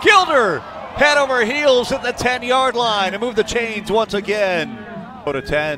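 Amid noticeable background noise, a man with an extremely high pitch raises and projects his voice, speaking at a fairly slow pace with lively intonation. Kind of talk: live play-by-play sports commentary.

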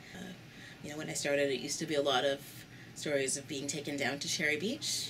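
A woman talks at a very fast pace in a very deep, low voice with fairly even intonation. Noticeable background noise is present. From Canada. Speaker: church community worker. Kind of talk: interview. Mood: reflective, earnest. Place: home room.

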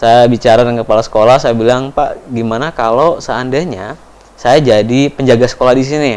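A man talks at a fairly quick pace with fairly even intonation and hardly any pauses. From Papua, Indonesia (Timika); Papua, Indonesia. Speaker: education foundation speaker; interviewee. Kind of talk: interview testimony. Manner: hesitant, many fillers. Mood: calm, reflective storytelling. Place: studio.

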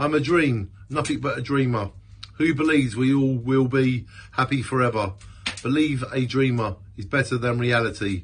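A man talks at a medium pitch with ordinary pitch variation and a somewhat breathy quality. Light background noise sits behind him. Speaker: amateur poet. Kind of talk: spoken-word poetry reading. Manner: earnest, rhythmic, with repeated refrains. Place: home room. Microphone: phone near.

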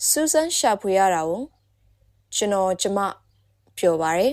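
A woman with a Burmese accent speaks very slowly at medium pitch. Her intonation is lively, and the recording is very clean with a silent background. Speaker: English teacher. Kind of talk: language lesson drill. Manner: slow, repeated phrases.

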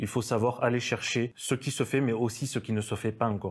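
A man with a medium pitch talks at a fairly quick pace. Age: 30s. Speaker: business owner. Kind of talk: interview. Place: studio. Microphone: lapel.

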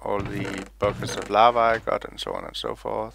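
Over noticeable background noise, a man speaks with a Danish accent. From Denmark. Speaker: gaming YouTuber. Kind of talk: gameplay commentary. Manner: casual and meandering.

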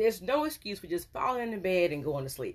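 This woman's pitch swings very widely. She talks at a fairly quick pace. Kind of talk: casual vlog advice. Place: office. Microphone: phone near.

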